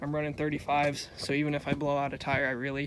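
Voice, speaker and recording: At a moderate pace, a man talks in a fairly high pitch and a flat monotone. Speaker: outdoors vlogger, truck owner. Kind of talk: casual vlog walkthrough. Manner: casual, many fillers; loud, yelling over exhaust.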